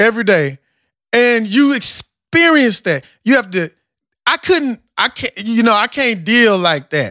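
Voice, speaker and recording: A man with a slight Southern US accent speaks fairly slowly in a raised, projected voice, high-pitched with a bright, sharp tone and very wide pitch swings. The recording is very clean, with a silent background and a dry, close sound with no echo. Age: 30s. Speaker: podcast host. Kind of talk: casual chat, podcast dialogue. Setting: studio.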